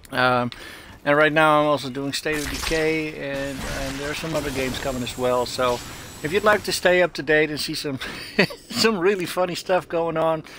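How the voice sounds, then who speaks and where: A man's fairly high voice with ordinary pitch variation and a Dutch accent, over noticeable background noise. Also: moderate pace. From Netherlands. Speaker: gaming streamer. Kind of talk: gameplay commentary. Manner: hesitant, many fillers.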